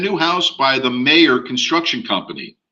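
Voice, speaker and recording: In an American accent, a man speaks with a bright, sharp tone amid audible room echo. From US. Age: 60s. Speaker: real estate instructor. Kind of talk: online class lecture. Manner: casual, conversational.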